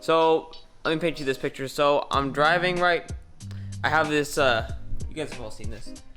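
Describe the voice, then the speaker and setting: Music plays in the background while a man with a fairly high pitch talks at a moderate pace. His intonation is fairly even, broken by long, frequent pauses. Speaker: car DIY enthusiast. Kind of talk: casual talk to camera.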